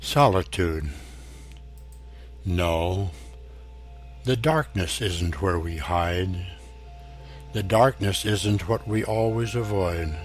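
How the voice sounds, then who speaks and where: A man with an American accent and a very deep, low pitch, speaking at a very slow pace with long, frequent pauses and lively intonation over music in the background. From United States. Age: 80s+. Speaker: poet. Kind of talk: spoken introduction to a poem.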